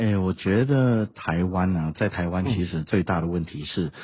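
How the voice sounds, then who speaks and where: This man's pitch is very deep and low, and his voice is somewhat breathy. He moves at a fairly quick pace with ordinary pitch variation. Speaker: school principal and language teacher. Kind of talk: interview.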